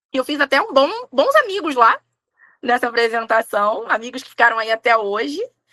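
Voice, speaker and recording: A woman speaks at a moderate pace in a high pitch with a bright, sharp tone, recorded dry and close with no echo. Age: 30s. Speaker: tarot reader and umbanda priestess. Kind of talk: casual interview chat.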